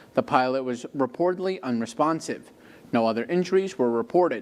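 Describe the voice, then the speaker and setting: A man with an unremarkable speaking voice talks at a fairly quick pace, his intonation lively. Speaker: TV news anchor and reporter. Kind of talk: TV news anchor delivery. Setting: studio.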